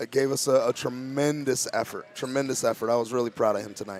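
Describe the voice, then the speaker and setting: A man talks at a medium pitch with fairly even intonation while music plays in the background. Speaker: high school basketball coach. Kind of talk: post-game interview. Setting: school gymnasium.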